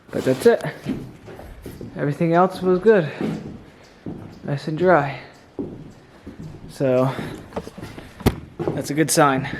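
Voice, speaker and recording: Over noticeable background noise and audible room echo, the speech moves at a very slow pace with long, frequent pauses and ordinary pitch variation. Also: man, fairly high pitch for a man. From New Jersey. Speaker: homesteader vlogger. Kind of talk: casual vlog narration.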